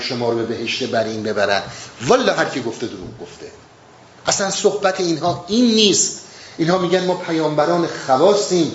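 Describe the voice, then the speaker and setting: A man speaks at a fairly quick pace with very wide pitch swings. The room echo is audible and the background noise noticeable. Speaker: Sufi teacher explaining Rumi. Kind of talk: lecture. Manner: halting.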